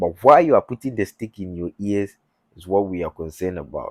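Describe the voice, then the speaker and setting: This man speaks with lively intonation at a moderate pace. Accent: Ghanaian. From Ghana. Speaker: YouTuber. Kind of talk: religious talk. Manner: halting.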